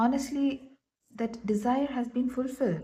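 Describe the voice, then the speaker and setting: Somewhat breathy, a woman speaks at a fairly slow pace in a dark, mellow tone. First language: not English. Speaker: tarot reader and astrologer. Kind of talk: tarot reading. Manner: halting.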